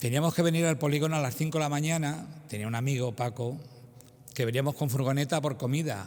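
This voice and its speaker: Fairly high in pitch, a man speaks at a very fast pace. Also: ordinary pitch variation. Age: 70s. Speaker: parishioner giving testimony. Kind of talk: testimony.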